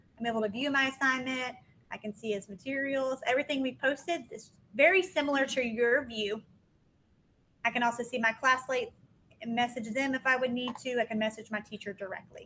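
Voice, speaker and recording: A raised, projected voice with a bright, sharp tone, ordinary pitch variation and a fairly quick pace. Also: woman, big swings in loudness. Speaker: instructional coach. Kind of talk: tutorial. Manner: fast.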